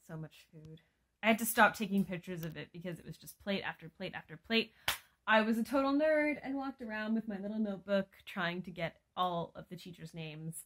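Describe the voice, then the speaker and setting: Against a quiet background, a woman at medium pitch talks fairly quickly with lively intonation and big swings in loudness. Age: 20s. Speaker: teacher vlogger. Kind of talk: casual vlog. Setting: sitting in bed at home. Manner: chatty, rambling with fillers. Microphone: phone near.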